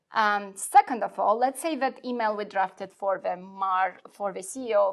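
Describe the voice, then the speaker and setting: At medium pitch, a woman talks at a moderate pace with ordinary pitch variation. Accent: non-native. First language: not English. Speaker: software product specialist. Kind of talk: product demo in a live webinar. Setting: live online webinar. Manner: hesitant, many fillers.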